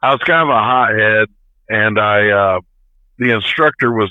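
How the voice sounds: In a dry, close recording with no echo, a man talks at a fairly slow pace with fairly low pitch and ordinary pitch variation.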